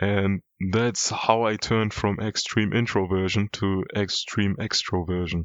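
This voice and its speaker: Talking at a fairly slow pace, a man with a non-native accent keeps a very even loudness and a monotone, flat intonation. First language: not English. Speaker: YouTuber. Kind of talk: personal vlog monologue. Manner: casual.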